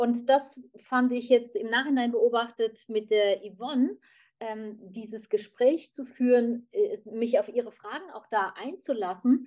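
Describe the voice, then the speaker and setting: At a fairly slow pace, a woman speaks with a high pitch and ordinary pitch variation. Her loudness swings widely. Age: 50s. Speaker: human design practitioner. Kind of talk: group conversation.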